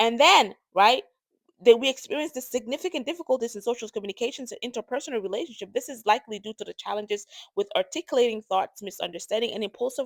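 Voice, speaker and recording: In a dry, close sound with no echo, the speech runs at a very fast pace with big swings in loudness and ordinary pitch variation. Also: woman, high pitch for a woman. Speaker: podcast host with ADHD. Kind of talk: casual educational talk. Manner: halting, many fillers and restarts.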